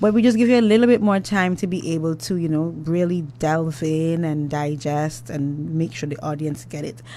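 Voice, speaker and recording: A woman with an Antiguan accent speaks in a very deep, low voice at a moderate pace with lively intonation and hardly any pauses. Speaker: radio host. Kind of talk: radio talk show interview. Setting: radio studio.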